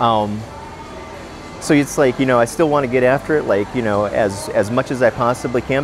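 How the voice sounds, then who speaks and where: A man at a fairly quick pace, fairly even in intonation, dry with no echo, with music in the background. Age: 40s. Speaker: jiu-jitsu practitioner. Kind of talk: testimonial interview. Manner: casual, hesitant with fillers. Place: gym. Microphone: lapel.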